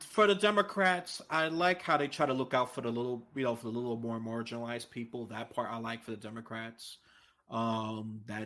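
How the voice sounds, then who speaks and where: A man with a New York accent speaks at medium pitch in a bright, sharp tone, on a very clean recording with a silent background. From New York City. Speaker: political podcast guest, independent voter. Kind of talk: casual chat. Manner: animated.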